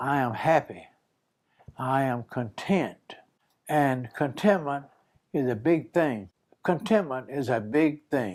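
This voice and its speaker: A man with a South Carolina accent speaks very slowly, his voice fairly high and his intonation lively. He leaves long pauses, and they come often. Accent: Southern US (South Carolina). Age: 90s. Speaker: war veteran. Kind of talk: interview. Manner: halting.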